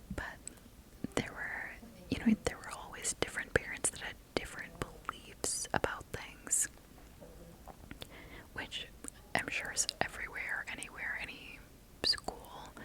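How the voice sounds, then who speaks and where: Someone whispers at a fairly slow pace with long, frequent pauses, and noticeable background noise can be heard. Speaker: ASMR creator. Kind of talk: ASMR storytime. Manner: whispered.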